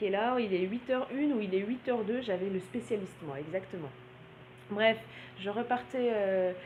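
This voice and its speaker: The speaker's intonation is lively and somewhat breathy. Long, frequent pauses break up the speech. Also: woman, medium pitch for a woman, moderate pace. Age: 30s. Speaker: blogger and naturopath. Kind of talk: vlog monologue. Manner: hesitant, many filler sounds.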